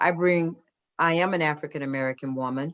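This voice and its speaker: With a Southern US accent, a woman speaks in a very deep, low voice at a moderate pace. Her intonation is fairly even. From US South, Atlanta. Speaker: corporate diversity executive. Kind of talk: Q&A talk.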